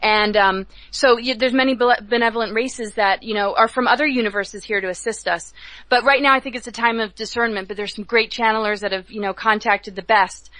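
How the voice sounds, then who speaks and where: The speech comes at a very fast pace. Its intonation stays fairly even. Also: woman, fairly high pitch for a woman. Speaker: spiritual speaker, cosmic mythologist. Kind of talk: interview on radio show. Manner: anxious-sounding, not relaxed.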